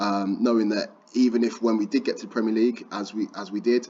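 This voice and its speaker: This man speaks in a Birmingham accent. His intonation stays fairly even. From Birmingham, England. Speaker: football trading YouTuber. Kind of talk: tutorial. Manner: casual, conversational.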